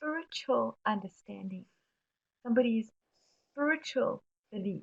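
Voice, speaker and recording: A woman with a South African accent, somewhat breathy and fairly high-pitched, with ordinary pitch variation and a fairly slow pace. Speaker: webinar presenter on mental health. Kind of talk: webinar presentation answering questions. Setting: online webinar.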